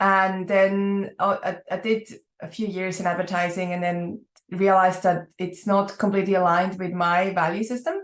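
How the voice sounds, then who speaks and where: In a Swiss accent, a woman speaks at a moderate pace and medium pitch. Her intonation is monotone and flat. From Switzerland. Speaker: entrepreneur. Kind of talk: podcast interview.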